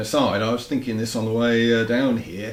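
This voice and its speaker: A man with an English accent speaks at medium pitch and a moderate pace. Audible room echo and noticeable background noise surround his voice. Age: 50s. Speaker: interviewer. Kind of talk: interview. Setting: home studio.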